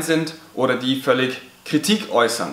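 A man's fairly even intonation in audible room echo. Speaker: teacher. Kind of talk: educational vlog talk. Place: classroom.

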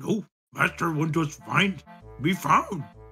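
In a put-on character voice at a middle pitch, the speaker goes at a fairly slow pace over faint background music. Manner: focused.

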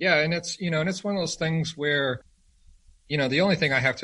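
A man talks with an American accent. His tone is bright and sharp. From rural Arizona. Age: 30s. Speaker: firearms retail company representative. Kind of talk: casual interview.

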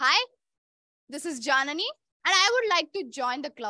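A woman with an Indian accent talks in a raised, projected voice at an extremely high pitch, her tone bright and sharp, with very wide pitch swings. The pace is moderate, and the sound is dry with no echo against a quiet background. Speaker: club president. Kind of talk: personal speech. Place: hall.

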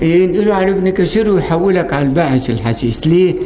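The speaker is a man with an Egyptian accent and a high pitch. Light background noise can be heard. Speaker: hadith professor. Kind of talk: lecture. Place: hall. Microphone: studio mic.

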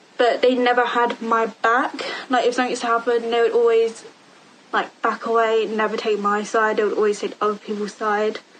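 The delivery is fairly quick, with monotone, flat intonation. Light background noise sits underneath. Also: woman. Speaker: vlogger. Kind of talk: personal storytelling vlog. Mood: subdued, serious. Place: home room. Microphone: phone near.

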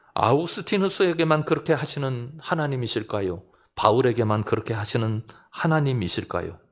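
This is a man with a medium-pitched voice. He has a plain, everyday voice. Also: lively intonation, fairly quick pace. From South Korea, South Chungcheong (Seocheon). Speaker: pastor. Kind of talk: sermon.

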